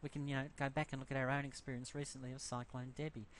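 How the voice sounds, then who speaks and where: The speaker is a man with an Australian accent. His pitch is fairly high. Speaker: university lecturer. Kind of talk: lecture. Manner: fast; halting, many fillers.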